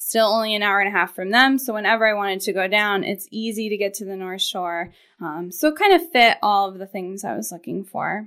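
Bright and sharp in tone, a woman at medium pitch talks at a fairly quick pace with ordinary pitch variation, big swings in loudness and hardly any pauses, on a very clean recording with a silent background. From Maine (Portland). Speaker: financial planner. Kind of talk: casual chat.

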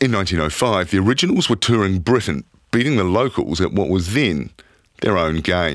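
A man's very deep, low voice in a New Zealand accent, at a moderate pace with very even loudness. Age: 40s. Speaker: podcast host. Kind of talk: documentary narration.

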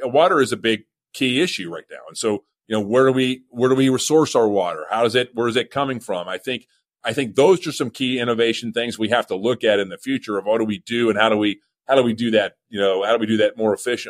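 With an American accent, a man talks at a very fast pace and medium pitch. His pitch variation is ordinary, and the sound is dry and close with no echo. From Oklahoma. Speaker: museum chief executive. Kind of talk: interview.

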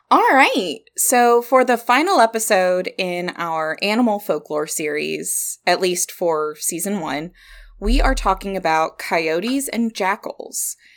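On a very clean recording with a silent background, a woman with an American accent speaks at a fairly slow pace and medium pitch, her intonation lively. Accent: Southern US, usually mild. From Kentucky. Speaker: podcast co-host. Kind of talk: casual chat.

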